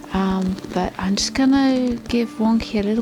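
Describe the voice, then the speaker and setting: A woman talks at a moderate pace, her intonation fairly even, with music in the background. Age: 40s. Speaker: Paralympic dressage rider. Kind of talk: casual talk to camera, Q&A.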